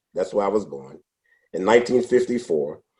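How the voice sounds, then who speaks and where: A man talks at a fairly quick pace. He has a New York accent. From New York City, Brooklyn. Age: 60s. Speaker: former salesman. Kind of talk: interview.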